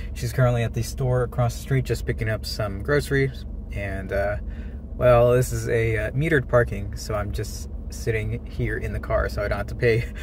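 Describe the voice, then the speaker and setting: In a dry sound with no echo and light background noise, a man speaks at a moderate pace. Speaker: daily vlogger. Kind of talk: casual vlog chat. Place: car. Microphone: phone near.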